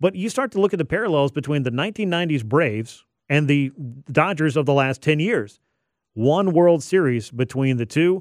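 Here is a man with an ordinary speaking voice and a fairly high pitch. His intonation is lively and his pace fairly quick. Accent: American. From Georgia, US South. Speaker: sports radio host. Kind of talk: sports talk radio. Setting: radio studio.

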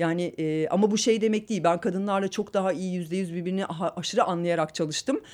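A woman talks at a very fast pace and medium pitch with fairly even intonation. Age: 30s. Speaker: film director. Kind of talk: casual interview. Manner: halting, many fillers.

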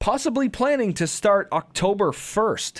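A man speaks in a high voice with lively, bouncing intonation. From Windsor, Ontario, Canada. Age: 20s. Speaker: hockey podcast host. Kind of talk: casual chat.

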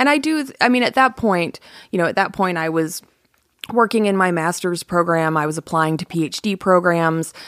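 Here is a woman with a normal speaking voice and a fairly low pitch. She talks at a moderate pace with lively intonation. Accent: American. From US South (Atlanta, Georgia). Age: 40s. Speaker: author. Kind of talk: interview conversation. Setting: studio.

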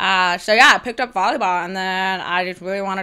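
An unremarkable speaking voice from a woman with an American accent, medium in pitch, at a fairly quick pace. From US. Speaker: beach volleyball player and event organizer. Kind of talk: interview. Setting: video call.

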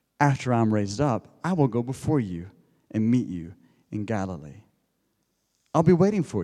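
A man with an American accent, a medium pitch and a dark, mellow tone, very wide pitch swings at a moderate pace, in a very clean recording with a silent background. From United States. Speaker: preacher. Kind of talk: sermon. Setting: church.

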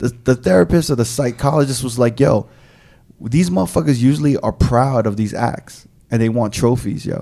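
Here a man with a medium pitch and a dark, mellow tone speaks. His pace is moderate and his pitch variation ordinary. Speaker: DJ and podcast co-host. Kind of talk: casual chat.

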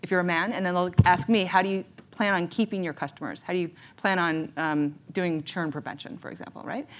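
A woman with a plain, everyday voice speaks at a fairly quick pace, fairly low in pitch with ordinary pitch variation and big swings in loudness. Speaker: tech founder. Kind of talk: casual panel chat. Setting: stage with audience.

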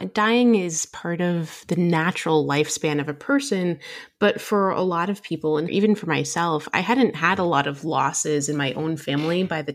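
Speaking with an American accent, a woman uses an ordinary speaking voice, fairly low in pitch with ordinary pitch variation. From New Jersey, US. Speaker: emergency physician and medical educator. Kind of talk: podcast discussion.

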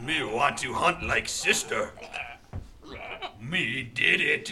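A man speaks very slowly with lively intonation and a fairly high pitch. Background noise is clearly audible. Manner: broken caveman speech, eager.

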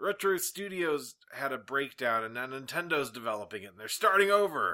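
Projecting his raised voice with a bright, sharp tone, a man swings his pitch very widely at a moderate pace in a very clean recording with a silent background. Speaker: podcast host. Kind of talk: casual chat. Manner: joking, puts on silly voices.

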